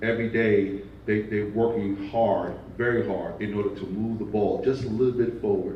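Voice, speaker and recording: A speaker with a Brooklyn accent talks at a moderate pace in a monotone, flat way. Room echo is audible. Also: man. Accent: Brooklyn New York. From Brooklyn, New York. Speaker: nonprofit division leader. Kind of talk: panel discussion.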